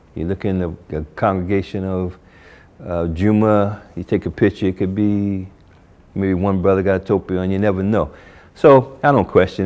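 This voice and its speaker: A man's ordinary speaking voice with an American accent, fairly low pitch, fairly even intonation, and a moderate pace. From US Northeast, Newark, New Jersey. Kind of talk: interview testimony. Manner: casual, many filler words.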